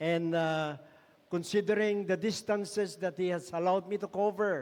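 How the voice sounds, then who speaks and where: At a fairly slow pace, a man talks in a high voice with ordinary pitch variation. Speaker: missionary. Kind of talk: sermon. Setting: church. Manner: soft-spoken.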